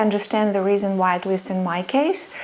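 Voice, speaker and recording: A woman speaks over noticeable background noise. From Soviet Union (Russia). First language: Russian. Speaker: sewing and vintage fashion creator. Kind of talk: personal storytelling vlog. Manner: hesitant, many fillers.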